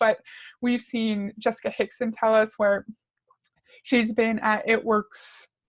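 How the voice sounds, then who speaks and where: A woman with a fairly high pitch speaks in a somewhat breathy, monotone, flat manner, captured in a very clean recording with a silent background and a dry, close sound with no echo. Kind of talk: commentary video reacting to a recorded training. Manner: conversational, critical.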